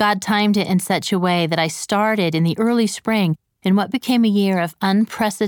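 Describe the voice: Plain reading aloud, with ordinary pitch variation and a quiet background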